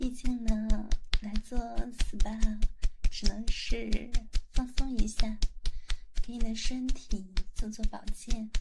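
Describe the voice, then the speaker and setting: A woman speaks very slowly in a soothing, flat monotone at a fairly high pitch. She leaves long, frequent pauses, with noticeable background noise behind her. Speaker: spa massage therapist (roleplay). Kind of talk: ASMR roleplay, spa therapist talking to a client. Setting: spa massage room, close-mic roleplay. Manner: soft, intimate, whispery and soothing, caring attendant tone; slow, gentle pace with warm chatty asides and small laughs.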